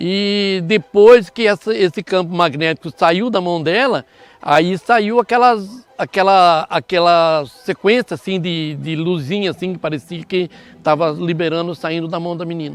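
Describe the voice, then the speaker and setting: A man's high-pitched voice at a fairly slow pace. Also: ordinary pitch variation. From Brazil, northern Paraná. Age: 70s. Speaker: farm owner. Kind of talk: interview. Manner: halting.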